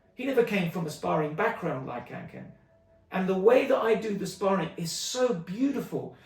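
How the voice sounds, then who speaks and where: A man with a London accent, high-pitched and animated, with lively intonation and big swings in loudness over noticeable background noise. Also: moderate pace. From London, England (Stonebridge, Harlesden). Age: 50s. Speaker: martial arts teacher. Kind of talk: community video update.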